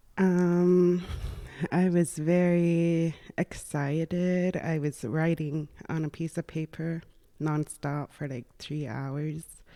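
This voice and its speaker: A woman speaks very slowly at a fairly low pitch, in a dark, mellow tone. Her intonation is fairly even, on a very clean recording with a silent background. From Nunavik, northern Quebec (Inuit). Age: 20s. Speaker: dental assistant, former university student. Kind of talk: podcast interview.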